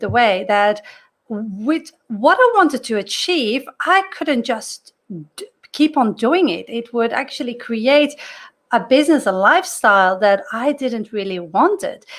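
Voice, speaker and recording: In a non-native accent, a woman speaks at a high pitch and a fairly slow pace, with very wide pitch swings. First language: not English. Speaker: career coach. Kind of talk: talking-head video monologue. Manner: casual, with fillers and self-corrections.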